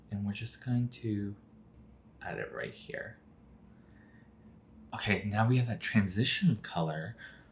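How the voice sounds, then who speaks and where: A man speaks at a medium pitch and a fairly slow pace, somewhat breathy, with ordinary pitch variation and long, frequent pauses. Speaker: drag queen makeup youtuber. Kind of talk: makeup tutorial. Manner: casual, filler-heavy.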